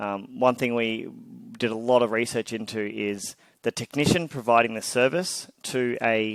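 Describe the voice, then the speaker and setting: A man speaks at a medium pitch with an Australian accent. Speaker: tech startup founder and CEO. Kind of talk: interview.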